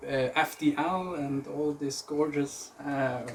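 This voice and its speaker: At a very slow pace, a man with a fairly high pitch talks with fairly even intonation over noticeable background noise. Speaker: blaster designer. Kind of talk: interview. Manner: halting.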